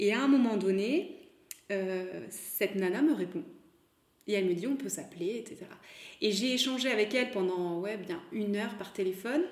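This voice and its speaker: A woman speaks at a moderate pace in a medium pitch, her intonation lively. Her pauses are long and frequent. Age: 30s. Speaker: fashion brand founder. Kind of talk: interview. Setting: recorded at the guest's home.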